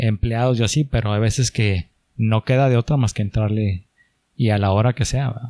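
Speaking at a moderate pace, a man has a medium pitch and a dark, mellow tone. The sound is dry and close, with no echo. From Mexico, Chihuahua. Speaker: entrepreneur. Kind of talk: casual chat.

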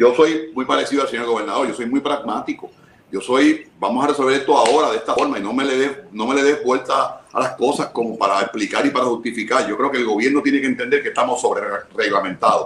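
Noticeable background noise lies under a man speaking very fast. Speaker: government official. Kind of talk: radio interview.

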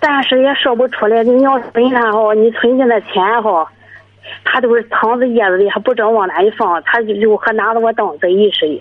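A woman with a fairly high pitch uses an ordinary speaking voice at a moderate pace. Her pitch variation is ordinary, and her loudness stays very even. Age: 40s. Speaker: caller, live-in domestic worker. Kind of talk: phone-in confession.

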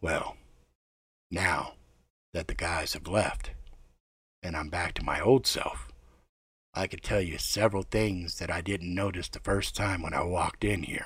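Raspy and gruff, this put-on character voice moves at a moderate pace with long, frequent pauses. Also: man, very deep, low pitch for a man. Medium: read story. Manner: gruff, wry, observant.

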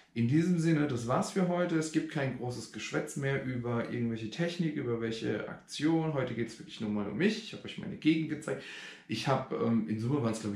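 Amid audible room echo, a man talks at a very fast pace in a fairly high, somewhat breathy voice. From Germany, Rhein-Neckar area (Schwetzingen). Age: 40s. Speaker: vlogger. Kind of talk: casual vlog. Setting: outdoors. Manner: hesitant, many filler sounds.

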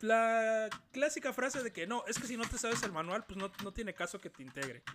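A man with a Mexican accent, high in pitch, with a bright, sharp tone and a moderate pace. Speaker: podcast host. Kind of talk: casual chat. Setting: call.

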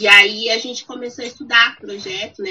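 Noticeable background noise sits behind a woman's voice. She speaks at a moderate pace, with very wide pitch swings. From Brazil. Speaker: English teacher. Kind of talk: casual chat.

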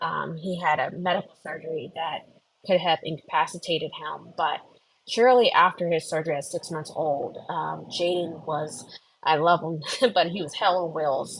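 A normal speaking voice from a woman, fairly low in pitch, in an American accent, with ordinary pitch variation and a moderate pace. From US, Philadelphia. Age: 30s. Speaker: career coach, former therapist. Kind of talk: personal testimony. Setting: live online audio room.

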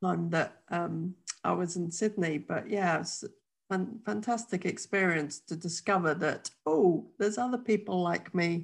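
With a plain, everyday voice, a woman speaks at a fairly low pitch and a fairly slow pace, with ordinary pitch variation. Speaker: podcast host. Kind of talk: casual interview.

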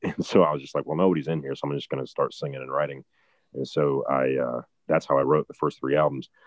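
A man talks very fast in a flat monotone with a very deep, low pitch. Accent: Midwestern American. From Ohio, Barberton. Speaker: country singer-songwriter. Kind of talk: interview conversation.

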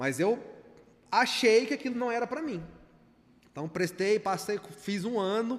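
Lively in intonation, a man with a high pitch talks with long, frequent pauses. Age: 30s. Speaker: content creator. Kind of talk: casual chat. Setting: studio.

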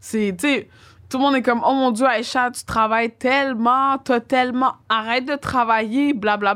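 The recording is very clean with a silent background as a woman speaks at a fairly slow pace. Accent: strong Quebec. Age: 30s. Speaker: DJ and music producer. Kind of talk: casual chat.

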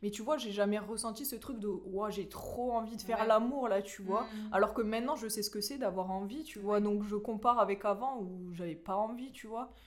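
A woman with a fairly high voice speaks at a moderate pace, with hardly any pauses and fairly even intonation. Her loudness swings widely against noticeable background noise. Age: 20s. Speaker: middle school teacher. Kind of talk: testimony. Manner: halting.

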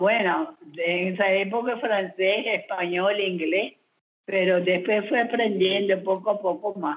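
Very slow and very even in loudness, a woman speaks at a medium pitch with ordinary pitch variation. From Curaçao. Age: 90s. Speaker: grandmother. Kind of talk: family interview.

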